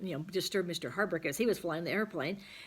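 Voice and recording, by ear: With ordinary pitch variation, the clip presents reading aloud in a natural voice.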